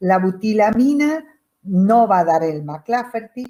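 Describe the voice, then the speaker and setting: A woman's dark, mellow voice at a very slow pace, lively intonation, very clean recording with a silent background. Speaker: chemistry teacher. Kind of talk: lecture.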